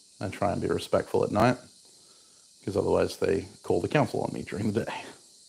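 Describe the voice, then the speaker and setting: Soft-spoken man at a very fast pace. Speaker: bladesmith. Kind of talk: casual livestream chat while working.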